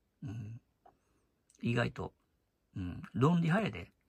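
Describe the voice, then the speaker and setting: At a very slow pace, a man talks in a somewhat breathy voice with very wide pitch swings, the sound dry and close with no echo. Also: long, frequent pauses, big swings in loudness. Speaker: YouTuber commentator. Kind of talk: casual monologue.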